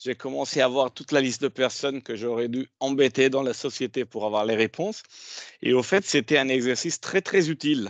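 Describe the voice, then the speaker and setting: A man's medium-pitched voice at a moderate pace, with ordinary pitch variation and big swings in loudness, dry and close with no echo, over a quiet background. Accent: Italian. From Italy. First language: Italian (speaking French). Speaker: HR director. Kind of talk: panel discussion.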